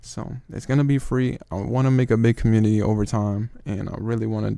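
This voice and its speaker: A man with a non-native accent speaks fairly quickly in a fairly low, dark, mellow voice with ordinary pitch variation. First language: not English. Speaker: trading youtuber. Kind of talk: casual advice monologue. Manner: casual, slangy.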